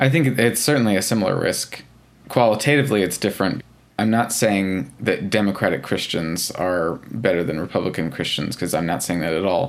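With a normal speaking voice, a man talks fairly quickly at a fairly low pitch and with lively intonation. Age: 20s. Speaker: churchgoer interviewee. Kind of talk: interview.

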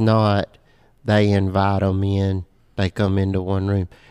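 This man has an ordinary speaking voice with a fairly low pitch and speaks at a fairly slow pace. The recording is very clean with a silent background and a dry, close sound with no echo. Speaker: church podcast co-host. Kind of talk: casual podcast chat.

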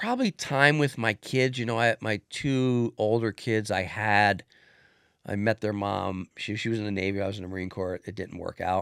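A man speaks at a moderate pace in a normal speaking voice, fairly low in pitch with ordinary pitch variation. The recording is very clean and dry, close with no echo, over a silent background. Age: 60s. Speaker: former police officer turned business executive. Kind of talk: casual interview chat.

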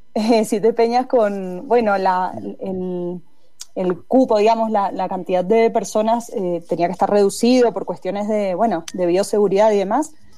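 At a fairly slow pace, a woman speaks with a dark, mellow tone at a medium pitch and ordinary pitch variation. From Mendoza, Argentina. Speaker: singer-songwriter. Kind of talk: casual interview.

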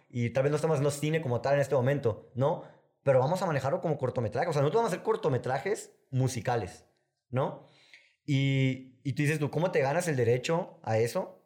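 Words tumble out of a man very fast, his voice somewhat breathy. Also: fairly high pitch for a man, ordinary pitch variation. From Sonora, northern Mexico. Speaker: filmmaker and music video director. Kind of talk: casual interview chat.

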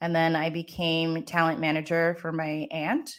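In an American accent, an ordinary speaking voice talks at a fairly slow pace. The recording is very clean with a silent background. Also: woman. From US, Maryland. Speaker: business and career coach. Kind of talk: casual interview chat.

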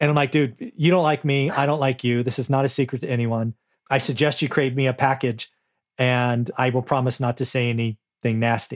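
A man talks at a fairly quick pace in a normal speaking voice, at a medium pitch with fairly even intonation. The background is quiet, and the sound is dry and close with no echo. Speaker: real estate investor and author. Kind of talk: interview.

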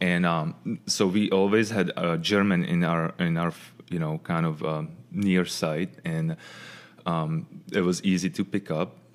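A man with a Czech accent speaks at a very deep, low pitch. His pace is fairly slow and his intonation fairly even. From Czech Republic, Pilsen. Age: 40s. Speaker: former ice hockey player. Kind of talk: casual chat. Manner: halting.

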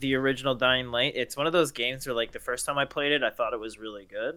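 This man has an ordinary speaking voice, medium in pitch, with fairly even intonation. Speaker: gaming podcast co-host. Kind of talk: casual chat.

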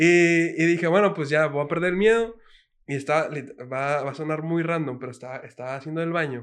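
This man has an ordinary speaking voice, fairly high in pitch, with ordinary pitch variation and a fairly quick pace. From Mexico City. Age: 20s. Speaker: reggaeton singer. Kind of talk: casual chat.

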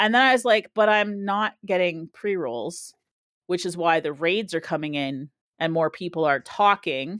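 A woman with an ordinary speaking voice and a Canadian accent talks at a moderate pace and medium pitch with lively intonation, recorded dry and close with no echo on a very clean track with a silent background. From Canada. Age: 40s. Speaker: Twitch streamer. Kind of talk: casual chat.

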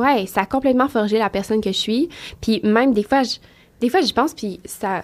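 A woman with a Quebec accent speaks at a moderate pace and fairly high pitch, with ordinary pitch variation. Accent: Québécois French. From Quebec, Trois-Rivières. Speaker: fashion model. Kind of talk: casual interview chat.

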